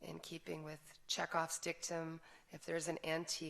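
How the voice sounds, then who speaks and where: In a very deep, low voice, a woman talks at a moderate pace with monotone, flat intonation. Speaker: crime novelist. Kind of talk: author talk.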